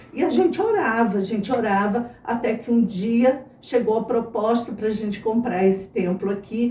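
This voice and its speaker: A woman talks at a moderate pace with hardly any pauses, her pitch fairly high and its variation ordinary. Noticeable background noise runs underneath. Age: 60s. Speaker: church member, former teacher. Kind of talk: testimony.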